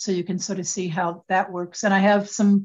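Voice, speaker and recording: A woman's somewhat breathy voice in an American accent, medium in pitch, at a moderate pace, with monotone, flat intonation. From Michigan, US Midwest. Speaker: attorney and women's advocate. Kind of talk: interview.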